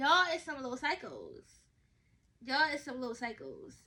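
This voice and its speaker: A woman speaks at a fairly quick pace in a raised, projected voice with a high pitch. Her tone is bright, sharp and animated, and her intonation is lively. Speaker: podcast host. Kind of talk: casual monologue. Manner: fast.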